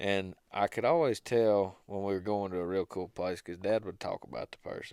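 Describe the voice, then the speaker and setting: At a moderate pace with hardly any pauses, a man speaks at a fairly low pitch with ordinary pitch variation. The recording is very clean with a silent background, dry and close with no echo. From US South, Georgia, near Athens. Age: 20s. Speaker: hunting videographer. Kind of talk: interview, casual chat. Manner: low-key, easy-going.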